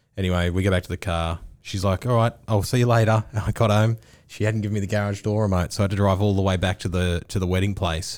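A man's fairly low voice with an Australian accent, at a very fast pace with fairly even intonation and very even loudness. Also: very clean recording, silent background. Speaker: podcast host. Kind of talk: casual banter.

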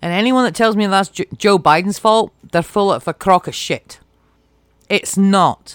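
Woman in a British accent at a fairly slow pace with ordinary pitch variation, dry, close sound with no echo, and a very clean recording on a silent background. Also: medium pitch for a woman. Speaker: podcast host. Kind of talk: angry rant about politics and inequality. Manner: impassioned, emphatic, swearing.

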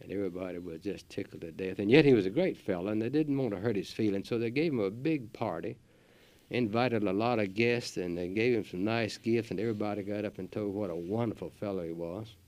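Against a quiet background, a man with a Southern US accent talks very fast in a fairly low voice with ordinary pitch variation. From US South, North Carolina. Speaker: gardening radio host. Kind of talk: radio talk show. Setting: studio.

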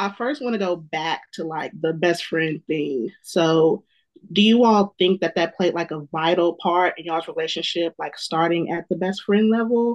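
A woman with an unremarkable speaking voice talks at a moderate pace and medium pitch with ordinary pitch variation and hardly any pauses, recorded dry and close with no echo over a quiet background. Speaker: podcast host. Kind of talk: casual chat.

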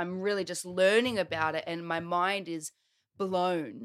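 Delivered with an Australian accent, the voice shows ordinary pitch variation. The sound is dry and close with no echo, on a very clean recording with a silent background. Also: woman. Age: 30s. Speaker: transformational coach. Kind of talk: casual chat.

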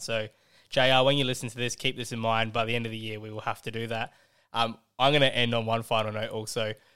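Talking at a very fast pace, a man with an Australian accent keeps his intonation fairly even. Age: 20s. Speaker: fantasy football podcast host. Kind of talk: casual chat. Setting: video call.

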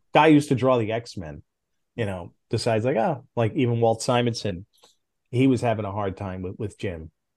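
With an unremarkable speaking voice at medium pitch, a man talks at a moderate pace with ordinary pitch variation against a quiet background. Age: 50s. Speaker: former comic book editor. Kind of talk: interview.

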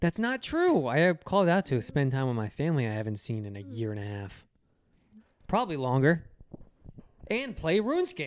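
A man's fairly high voice with very wide pitch swings, a fairly quick pace and long, frequent pauses, on a very clean recording with a silent background. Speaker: podcast co-host. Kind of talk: casual chat. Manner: stutters.

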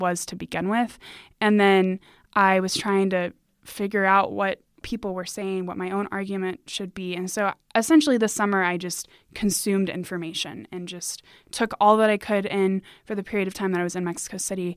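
In a normal speaking voice, a woman talks at a fairly quick pace with medium pitch and fairly even intonation on a very clean recording with a silent background. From United States. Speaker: university student. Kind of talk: academic interview.

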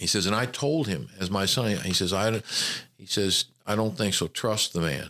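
In a Southern US accent, a man with a bright, sharp tone speaks at a moderate pace with ordinary pitch variation, recorded very cleanly against a silent background with a dry, close sound and no echo. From Memphis, Tennessee. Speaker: retired army general, university administrator. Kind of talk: interview.

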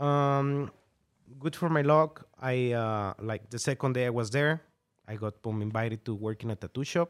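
A man talks at a moderate pace with a Mexican accent. The sound is dry and close, with no echo. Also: medium pitch for a man, ordinary pitch variation. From northern Mexico. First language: Spanish. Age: 30s. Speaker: tattoo artist. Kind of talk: casual interview. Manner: laughs often.

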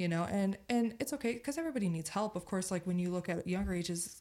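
Very fast speech comes in a dark, mellow tone with ordinary pitch variation. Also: woman. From Utah. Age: 20s. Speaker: podcast guest. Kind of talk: casual chat. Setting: studio.

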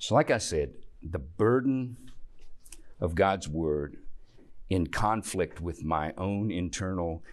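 Speaking fairly slowly against a quiet background, a man with a Southern US accent uses a very deep, low pitch and ordinary pitch variation. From US South, Tennessee. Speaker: church teacher. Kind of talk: Bible class teaching.

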